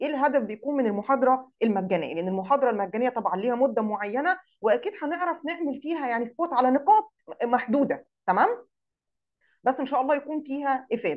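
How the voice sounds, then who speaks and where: The speaker talks at a fairly quick pace with very wide pitch swings in an Egyptian accent. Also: woman. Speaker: digital marketing instructor. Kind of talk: online lecture. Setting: live Zoom session.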